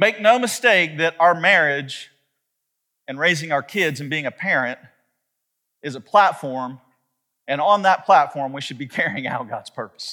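The speaker moves at a fairly slow pace with lively intonation. The tone is bright and sharp. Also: man, fairly high pitch for a man.

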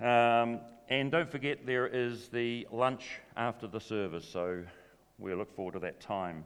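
In a New Zealand accent, a man with a medium pitch speaks at a fairly slow pace. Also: ordinary pitch variation. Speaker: church event MC. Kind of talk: announcements. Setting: church. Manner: jokey, playful.

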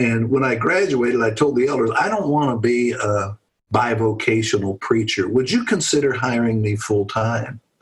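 A man talks with an American accent at a medium pitch. His voice is somewhat breathy, and his intonation is fairly even. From Pennsylvania. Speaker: retired pastor. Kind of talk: casual interview.

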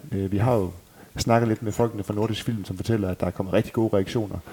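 A man with a fairly low pitch and a dark, mellow tone talks at a fairly quick pace with fairly even intonation. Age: 30s. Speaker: tribute band member and podcast host. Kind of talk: casual chat.

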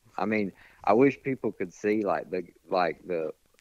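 A man talks at a moderate pace. His voice sits at a fairly low pitch. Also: dry, close sound with no echo. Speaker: bow hunter. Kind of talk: casual interview. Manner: laid back.

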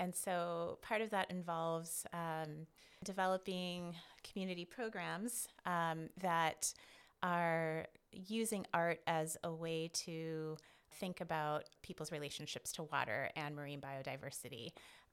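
Speaking at a fairly slow pace, a woman uses a fairly low pitch with ordinary pitch variation. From US Midwest. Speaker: artist in residence. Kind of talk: casual interview chat.

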